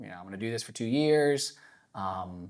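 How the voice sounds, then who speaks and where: A normal speaking voice with lively intonation, on a very clean recording with a silent background. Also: man. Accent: American. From North Carolina. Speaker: school principal, former teacher. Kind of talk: live podcast conversation before audience. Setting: live podcast in church with audience.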